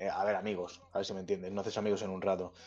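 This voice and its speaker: The pace is very fast. The speaker has a central Spanish accent. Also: man. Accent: central Spain Spanish. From Spain, Pinto (Madrid). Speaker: rapper and music producer. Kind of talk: casual chat.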